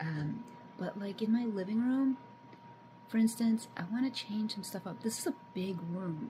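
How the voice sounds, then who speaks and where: A soft-spoken woman with lively intonation over noticeable background noise. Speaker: homesteading vlogger. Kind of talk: casual vlog. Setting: at home. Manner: halting.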